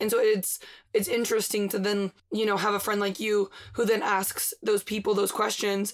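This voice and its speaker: The woman speaks at a medium pitch in a monotone with flat intonation. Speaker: podcast host. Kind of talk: casual chat. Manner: fast talker.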